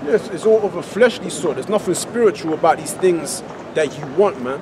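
Noticeable background noise sits behind a man's voice. He keeps a moderate pace and ordinary pitch variation. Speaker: street preacher. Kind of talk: sermon. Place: street. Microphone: camera far.

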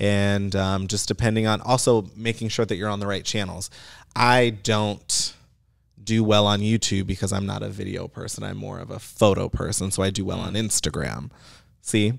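Over a quiet background, a man with a fairly low pitch speaks at a moderate pace and fairly even intonation. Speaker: digital marketer; podcast guest. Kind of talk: casual chat. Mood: relaxed, conversational. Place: studio. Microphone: studio mic.

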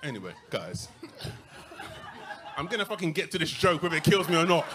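A man talks at a fairly quick pace with ordinary pitch variation. His voice is high for a man, and there is noticeable background noise. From London, UK. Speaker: stand-up comedian. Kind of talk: live stand-up comedy set. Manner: bantering, sweary, incredulous. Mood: amused, mock-exasperated. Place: stage. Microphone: handheld.

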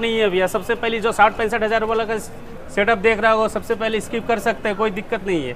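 Over light background noise, a man speaks at a fairly quick pace in a high pitch with fairly even intonation. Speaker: shop salesman. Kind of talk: product presentation to interviewer. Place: street. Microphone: lapel.

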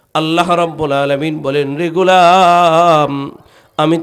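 Room echo can be heard as the man talks, his voice sitting fairly high. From Bangladesh, Munshiganj. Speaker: Islamic preacher, mosque khatib. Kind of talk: sermon. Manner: loud, animated.

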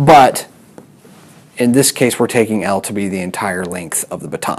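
His intonation is lively as the man talks. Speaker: physics teacher. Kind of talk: lecture. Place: classroom. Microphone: lapel.

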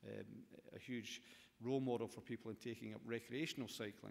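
A man talks at a medium pitch with a Scottish accent. His pace is fairly quick and his intonation monotone and flat. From Scotland. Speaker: government minister. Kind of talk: conference speech. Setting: stage with audience. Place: hall. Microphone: podium.

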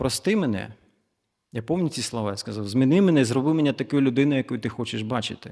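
A man talking at a very fast pace with lively intonation, captured in a very clean recording against a silent background. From eastern Ukraine, Zaporizhzhia. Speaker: church guest speaker. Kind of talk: testimony.

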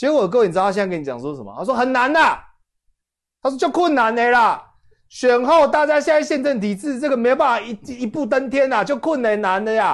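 A man speaks at a very fast pace with an extremely high pitch. His intonation is lively over a quiet background. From Taiwan. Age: young. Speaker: political commentator. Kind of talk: casual chat. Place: studio. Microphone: lapel.

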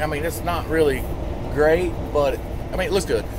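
Noticeable background noise behind a man's dry voice with no echo. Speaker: truck driver vlogger. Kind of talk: casual vlog chat. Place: car. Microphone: phone near.

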